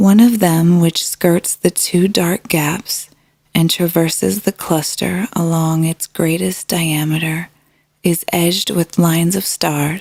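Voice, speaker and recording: Slowly and with fairly even intonation, a woman speaks in a calm tone at a very slow pace, the sound dry and close with no echo. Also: fairly low pitch for a woman. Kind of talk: sleep story. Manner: calm, slow.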